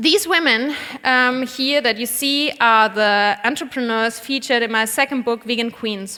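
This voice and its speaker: With a German accent, a woman speaks at a high pitch and a moderate pace, her pitch varying in an ordinary way. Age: 30s. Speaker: vegan cook and cookbook author. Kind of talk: conference talk. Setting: stage with audience.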